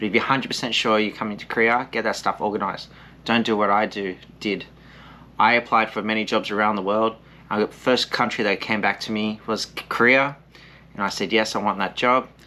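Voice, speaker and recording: A man with an Australian accent, fairly low in pitch, bright and sharp in tone, at a fairly quick pace with flat, monotone intonation. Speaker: English teacher and vlogger. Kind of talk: casual vlog with eating, advice.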